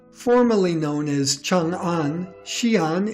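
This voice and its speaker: With music in the background, a man speaks at a fairly high pitch and a very slow pace. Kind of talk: educational documentary narration. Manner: clear, measured.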